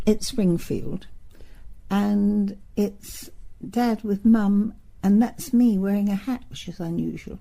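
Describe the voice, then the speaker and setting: In a London accent, a woman speaks very slowly with a dark, mellow, somewhat breathy tone, a medium pitch, fairly even intonation and big swings in loudness. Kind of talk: oral history interview answer. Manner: reminiscing, conversational.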